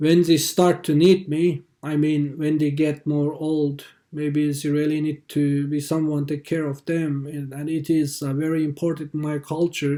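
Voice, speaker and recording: The speaker's voice has a dark, mellow tone and monotone, flat intonation. At a fairly slow pace with hardly any pauses, it comes through on a very clean recording with a silent background. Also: man, fairly high pitch for a man. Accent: Xinjiang. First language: Uyghur. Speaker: activist. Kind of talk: testimony. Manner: halting.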